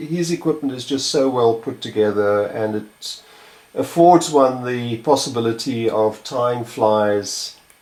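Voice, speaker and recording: Medium in pitch, a man talks at a fairly slow pace. His pitch variation is ordinary. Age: 60s. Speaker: fly tyer. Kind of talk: tutorial. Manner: halting, many fillers.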